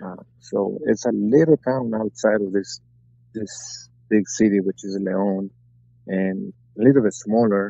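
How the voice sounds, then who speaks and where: Speaking in a Spanish accent, a man has fairly low pitch and lively intonation. He moves at a fairly slow pace, with long, frequent pauses. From Mexico, Guanajuato. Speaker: retired boxer. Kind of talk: interview. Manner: halting.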